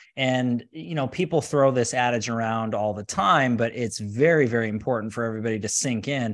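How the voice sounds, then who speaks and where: A man with a normal speaking voice, medium pitch, ordinary pitch variation and a fairly quick pace against a quiet background. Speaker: podcast host. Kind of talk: live interview.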